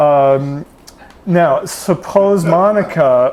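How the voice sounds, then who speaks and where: There is noticeable background noise behind the speaker. A man talks with ordinary pitch variation. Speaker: speaker giving a talk. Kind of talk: public talk. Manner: halting.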